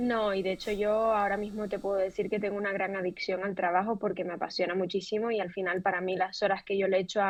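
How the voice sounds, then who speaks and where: A woman's medium-pitched voice with a Canarian accent, at a fairly quick pace. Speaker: fashion entrepreneur and creative director. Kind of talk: interview. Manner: animated.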